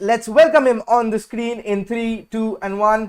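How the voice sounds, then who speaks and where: An excited-sounding man with an Indian accent at a moderate pace. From India, Kolkata. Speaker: football podcast host. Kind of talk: live video podcast interview. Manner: excited, stumbling.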